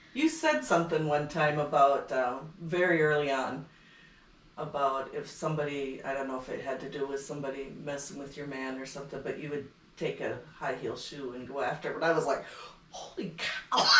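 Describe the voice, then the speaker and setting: A woman with a Minnesota accent speaks at a very deep, low pitch and a fairly quick pace, with fairly even intonation and big swings in loudness. There is noticeable background noise and audible room echo. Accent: Upper Midwest (Minnesotan). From northern Minnesota. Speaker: podcast guest. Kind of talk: casual chat.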